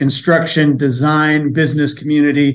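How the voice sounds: A man at a fairly high pitch and moderate pace, with little pitch movement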